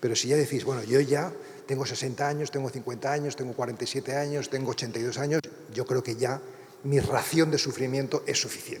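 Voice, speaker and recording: A man talks very fast at a medium pitch, in a monotone, flat intonation. Noticeable background noise is present. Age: 60s. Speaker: priest and writer. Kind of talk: lecture. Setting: university lecture hall with audience.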